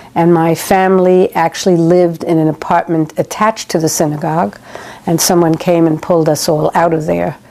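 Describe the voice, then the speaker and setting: Over noticeable background noise, a woman with a fairly low pitch talks at a fairly quick pace, keeping both her intonation and her loudness very even. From Germany, Frankfurt. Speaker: Holocaust survivor. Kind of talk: testimony.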